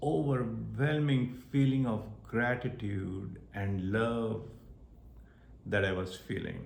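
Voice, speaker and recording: Very slow, somewhat breathy speech from a man with an Indian accent, lively intonation and audible room echo. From India (Maharashtra). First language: Marathi. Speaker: spiritual vlogger. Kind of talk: personal testimony.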